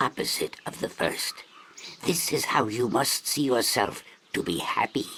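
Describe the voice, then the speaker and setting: A fairly slow, put-on character voice from a man. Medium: video game. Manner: slow, solemn, ceremonial.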